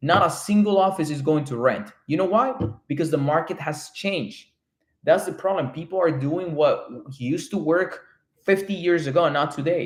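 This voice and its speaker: With a Spanish accent, a man with a high voice speaks at a moderate pace and with lively intonation. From Colombia. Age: 30s. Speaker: real estate developer. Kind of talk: live stream chat. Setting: live stream from home. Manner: animated.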